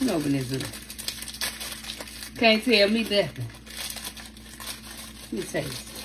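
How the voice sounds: A woman's fairly low-pitched voice, slow and with lively intonation, over faint background noise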